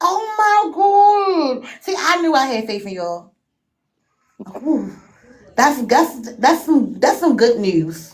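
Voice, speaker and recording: Amid audible room echo, a woman with a high pitch talks at a very slow pace, with long, frequent pauses and very wide pitch swings. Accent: American. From Baltimore, Maryland. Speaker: live stream guest, fellow streamer. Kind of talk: casual chat.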